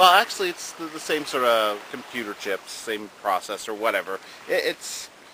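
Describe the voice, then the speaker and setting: A man of medium pitch speaks at a moderate pace with very wide pitch swings. Noticeable background noise is present. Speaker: retro video game news host. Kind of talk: casual talk to camera.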